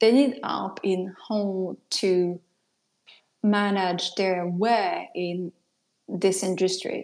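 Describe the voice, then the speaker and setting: A woman with a French accent, medium pitch and fairly even intonation, at a very slow pace with long, frequent pauses. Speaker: product designer and mentor. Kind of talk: casual interview chat. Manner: hesitant, many fillers.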